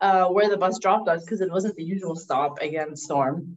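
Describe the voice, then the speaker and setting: A woman with lively intonation. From Canada, Middle Eastern family. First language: not English. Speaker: former English teacher abroad. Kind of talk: casual chat. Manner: friendly, laughs often.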